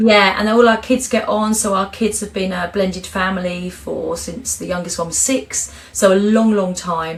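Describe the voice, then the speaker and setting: Noticeable background noise sits behind a woman with an English accent. She has a medium pitch and a moderate pace, with hardly any pauses. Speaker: cancer survivor and author. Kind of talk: interview. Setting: podcast. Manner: loud and chatty; animated.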